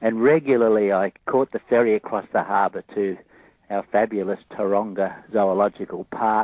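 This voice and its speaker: Moderately paced speech from a man, fairly low-pitched, with fairly even intonation. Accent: Australian. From Australia, Sydney. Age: 70s. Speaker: cryptozoologist and ecologist. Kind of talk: interview. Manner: halting, many fillers.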